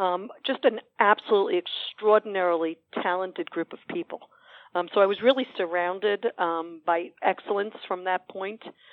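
A woman talks at a moderate pace in a medium pitch. Her pitch varies in an ordinary way. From New York City, Queens. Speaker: hospital executive director. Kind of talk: interview. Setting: studio. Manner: hesitant, many fillers.

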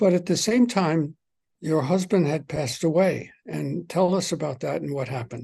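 A man speaks at a moderate pace with a fairly high pitch and a dark, mellow tone. His intonation is lively, with vocal fry over a quiet background. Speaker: podcast host and author. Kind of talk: interview. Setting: home.

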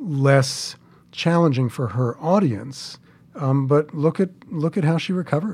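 At a fairly slow pace, an unremarkable speaking voice talks with an American accent. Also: man. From New York City (Queens). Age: 60s. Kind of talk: storytelling interview.

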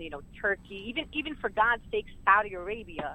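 A woman with a New York accent. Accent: New York City. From Brooklyn, New York (Sunset Park). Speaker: community advocate. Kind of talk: interview.

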